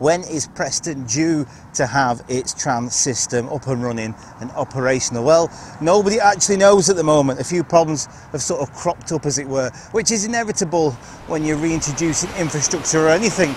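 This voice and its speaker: A man talks at a fairly quick pace with ordinary pitch variation. The sound is dry with no echo, over light background noise. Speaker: railway vlogger. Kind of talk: informative vlog commentary. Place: street. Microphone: lapel.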